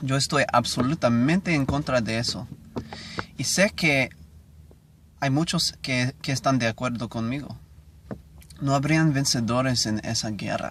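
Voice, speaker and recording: A man at a medium pitch and fairly slow pace, with ordinary pitch variation, long and frequent pauses, and noticeable background noise. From United States. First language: English (speaking Spanish). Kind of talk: reading aloud. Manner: halting.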